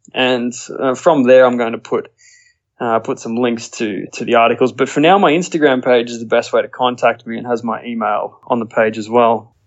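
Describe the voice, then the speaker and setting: In an Australian accent, a man talks at a moderate pace with a medium pitch and fairly even intonation. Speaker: nature photographer. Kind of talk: casual interview.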